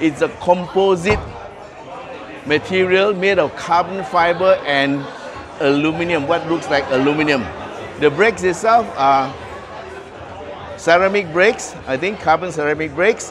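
Noticeable background noise sits under a man's high voice as he talks at a moderate pace with ordinary pitch variation and long, frequent pauses. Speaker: car reviewer. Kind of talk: walkaround review commentary. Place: hall. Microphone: phone near.

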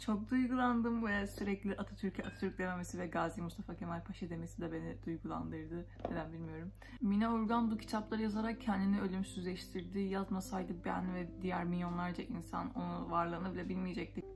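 Fairly quick speech with hardly any pauses, over noticeable background noise. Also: woman. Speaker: book vlogger. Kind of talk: casual book review chat. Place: home room. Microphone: phone near.

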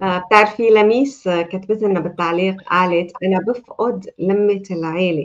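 A woman speaks with a Levantine accent at medium pitch. Her intonation stays fairly even. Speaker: talk show host and life coach; talk show host, life coach. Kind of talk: live talk show. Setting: video call. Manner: warm, welcoming. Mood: warm, friendly. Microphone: video call.

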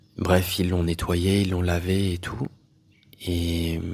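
This man's voice is very deep and low, and somewhat breathy. He talks at a fairly slow pace. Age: 40s. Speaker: spiritual teacher. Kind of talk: personal testimony monologue. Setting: solo audio recording.

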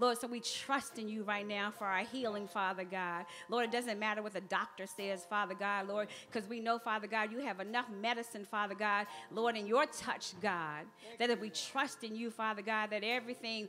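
Faint music plays in the background behind a woman. She speaks at a fairly quick pace with fairly even intonation. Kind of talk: public prayer. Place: church. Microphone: podium.

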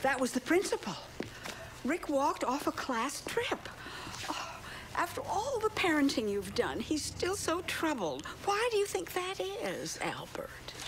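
Extremely high in pitch, a woman speaks at a fairly slow pace. Background noise is noticeable. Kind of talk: scripted film dialogue. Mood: affectionate, teasing. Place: home room.

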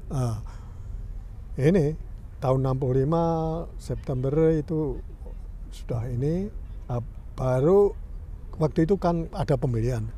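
Over light background noise in a dry sound with no echo, a man with a fairly high, somewhat breathy voice and a dark, mellow tone speaks at a very slow pace with ordinary pitch variation and long, frequent pauses. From Indonesia. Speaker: 1965 political exile, former student association leader; interviewee. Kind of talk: casual interview. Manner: halting. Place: garden.

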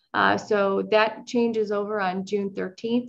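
In an American accent, a woman speaks against a quiet background. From US Midwest. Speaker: mayor. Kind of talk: council meeting. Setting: video call. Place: home room. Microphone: video call.

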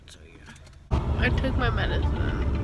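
A woman's voice in a dry sound with no echo, amid noticeable background noise. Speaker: vlogger. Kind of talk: casual vlog chat. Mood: playful, goofy.

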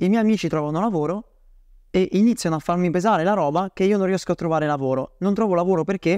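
Very fast speech comes from a man with a high pitch, a dark, mellow tone and ordinary pitch variation. The sound is dry with no echo over a quiet background. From Bolzano, northern Italy; northern Italy. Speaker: email marketing agency owner; podcast guest. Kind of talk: interview. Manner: halting. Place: home room.

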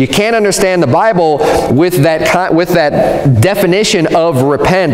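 Audible room echo surrounds a man as he talks. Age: 40s. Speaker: pastor. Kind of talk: sermon. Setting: church. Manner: earnest, teaching-style pulpit delivery, emphatic and repetitive; conversational, explanatory, with frequent self-restarts. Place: church.

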